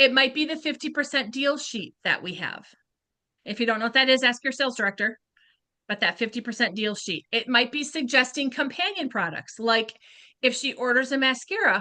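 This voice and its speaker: A woman's raised, projected voice, high-pitched with a bright, sharp tone, moves at a fairly quick pace with lively intonation. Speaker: beauty sales consultant. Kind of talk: training talk. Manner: fast; animated.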